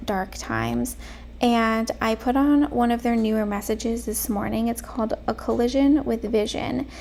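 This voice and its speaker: At a moderate pace, a soft-spoken woman talks. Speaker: lifestyle vlogger. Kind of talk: soft-spoken casual talk to camera.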